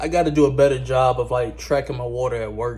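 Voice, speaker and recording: A man is talking. His pace is fairly quick. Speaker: music producer and vlogger. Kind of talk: casual vlog. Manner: fast.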